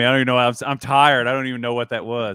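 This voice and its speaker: A man's bright, sharp tone in a Southern US accent, on a very clean recording with a silent background. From US South. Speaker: basketball analyst, podcast and video host. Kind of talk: casual chat.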